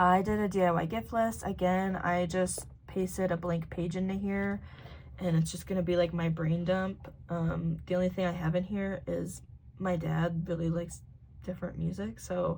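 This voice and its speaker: Monotone, flat delivery from a fairly low-pitched woman at a moderate pace, with audible room echo. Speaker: planning video creator. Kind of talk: casual tutorial walkthrough.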